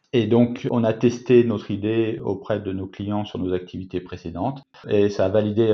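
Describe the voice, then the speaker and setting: A man's fairly low voice shows ordinary pitch variation as he goes at a moderate pace. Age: 40s. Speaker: company co-founder. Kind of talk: interview. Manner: hesitant, with fillers and repetitions.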